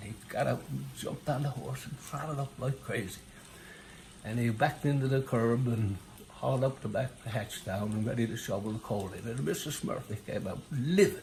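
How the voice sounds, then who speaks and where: A man with a Newfoundland accent speaks at a moderate pace and medium pitch, with ordinary pitch variation. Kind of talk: storytelling, joke telling. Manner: casual, hesitant.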